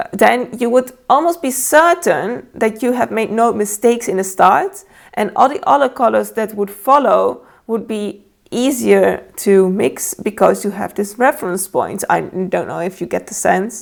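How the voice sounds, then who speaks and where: A woman speaks at a fairly slow pace with vocal fry and lively intonation. Her pitch sits fairly high. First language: Dutch and Italian. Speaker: painter and art teacher. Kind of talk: tutorial. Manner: halting, many fillers.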